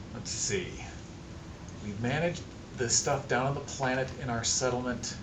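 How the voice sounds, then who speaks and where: A man speaks at a medium pitch with ordinary pitch variation, leaving long, frequent pauses. Room echo is audible, and there is noticeable background noise. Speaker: gaming video creator. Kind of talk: let's play commentary. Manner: fast; stumbling over words.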